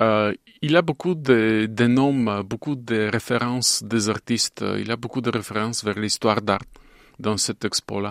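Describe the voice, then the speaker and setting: A man with a Bulgarian accent speaks at medium pitch and a fairly slow pace with ordinary pitch variation, dry and close with no echo on a very clean recording with a silent background. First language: Bulgarian (speaking French). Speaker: animation filmmaker. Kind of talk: interview. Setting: studio. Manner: halting.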